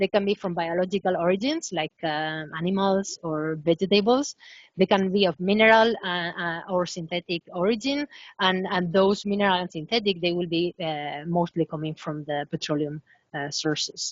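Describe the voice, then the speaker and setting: A woman's fairly low voice with a Spanish accent. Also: ordinary pitch variation, moderate pace. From Spain. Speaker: professor. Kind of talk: webinar lecture. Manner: hesitant, many fillers.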